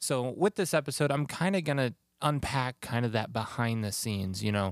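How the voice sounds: A man talks at a moderate pace, his pitch medium with ordinary variation.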